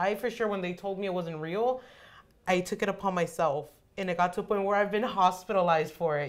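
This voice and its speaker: A woman talks at a very fast pace in a medium pitch. Her tone is animated. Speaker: student podcast co-host. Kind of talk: casual chat. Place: meeting room.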